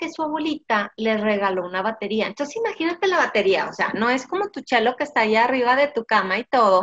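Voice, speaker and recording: A woman with a fairly high voice and lively intonation speaks at a moderate pace, the sound dry and close with no echo. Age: 40s. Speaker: podcast host, business coach. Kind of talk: casual interview. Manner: animated.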